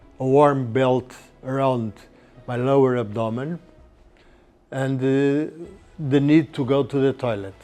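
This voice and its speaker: With music in the background, a man speaks very slowly at a medium pitch with fairly even intonation. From Portugal. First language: Portuguese. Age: 70s. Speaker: patient, retired surgeon. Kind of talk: interview testimony. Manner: halting.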